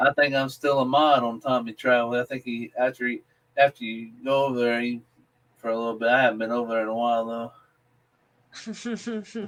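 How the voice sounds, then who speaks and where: A man in a Southern accent, medium in pitch, fairly quick, with fairly even intonation. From US South, South Carolina. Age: 30s. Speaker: livestream panelist. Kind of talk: casual chat.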